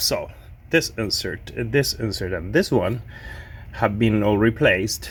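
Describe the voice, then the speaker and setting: Talking fairly slowly, a man speaks with a Spanish accent. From Argentina. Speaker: pinball restorer. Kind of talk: casual video talk, showing restorations. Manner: halting, many repeats and fillers.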